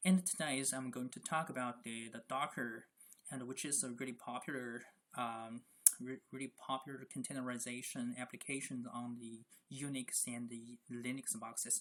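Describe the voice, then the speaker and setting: Moderate pace and fairly even intonation. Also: man, medium pitch for a man. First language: not English. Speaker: Linux DevOps instructor. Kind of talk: tutorial. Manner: halting, many fillers and repetitions.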